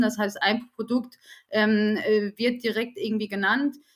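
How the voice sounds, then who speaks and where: The recording is very clean, with a silent background. A woman speaks at a fairly high pitch in a monotone, flat delivery. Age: 30s. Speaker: HR team lead. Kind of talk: podcast interview. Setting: studio.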